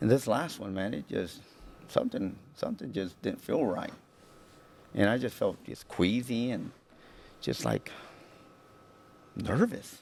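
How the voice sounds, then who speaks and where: A man with an American accent speaks at a fairly slow pace, leaving long, frequent pauses. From Houston, Texas. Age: 40s. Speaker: military officer. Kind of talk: interview testimony. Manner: halting, many repetitions and fillers.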